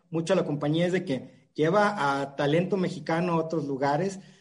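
Audible room echo follows a man whose pitch sits high. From Mexico, La Paz, Baja California Sur. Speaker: cinema chain manager. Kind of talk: casual interview.

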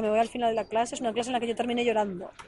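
A woman's fairly high voice in a flat monotone. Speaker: life coach. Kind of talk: casual chat. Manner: stuttering.

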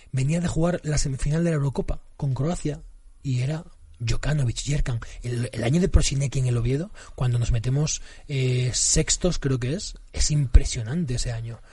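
A man's somewhat breathy, fairly high voice with a dark, mellow tone, ordinary pitch variation and a moderate pace. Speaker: football fan guest, former social educator. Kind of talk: casual chat.

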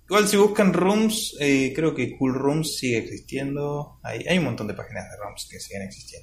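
Fairly high-pitched, this man's voice swings very widely in pitch and shows big swings in loudness. He hardly pauses, and noticeable background noise runs beneath him. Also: moderate pace. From Argentina. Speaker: gaming podcast host. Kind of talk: casual chat.

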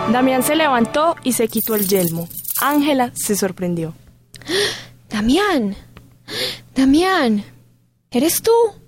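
Very slow, high-pitched speech from a woman, with long, frequent pauses. Her pitch swings very widely while her loudness stays very even. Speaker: narrator. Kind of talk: dramatic narration of a fantasy tale, solemn and storytelling. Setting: studio. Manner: solemn, measured, theatrical.

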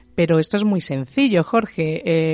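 In a dry, close sound with no echo, a woman with a normal speaking voice and a fairly low pitch talks at a moderate pace. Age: 40s. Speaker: medium. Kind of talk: radio interview.

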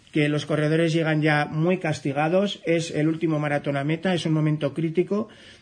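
A man speaks at a moderate pace in a fairly high pitch. He has an ordinary speaking voice. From Navarre, Ribera area, Spain. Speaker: trail running journalist and radio host. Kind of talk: radio interview.

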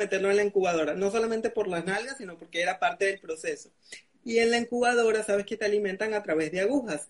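A man talks very fast at a high pitch. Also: ordinary pitch variation. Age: 20s. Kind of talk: interview on a live video stream. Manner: articulate, clear.

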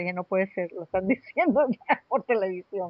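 A woman with an unremarkable speaking voice, medium pitch and moderate pace. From Venezuela (Caracas), Colombian family. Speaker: astrologer and spiritual therapist. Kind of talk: casual interview.

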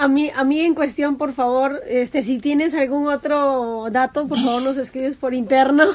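A woman with a high-pitched voice talks with hardly any pauses over noticeable background noise. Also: fairly even intonation, moderate pace. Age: 20s. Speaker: podcast co-host. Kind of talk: casual chat.

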